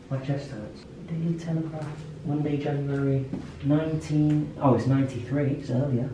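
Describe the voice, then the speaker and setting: The clip has noticeable background noise along with audible room echo. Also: moderate pace. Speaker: vlogger exploring. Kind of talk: casual vlog chat. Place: home room.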